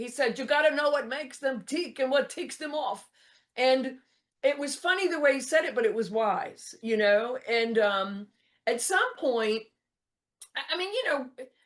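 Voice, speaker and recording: Loud and high-pitched, a woman talks at a moderate pace in a Texan accent with lively intonation. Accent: Texan American. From US South. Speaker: motivational speaker and comedian. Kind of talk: interview. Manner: animated.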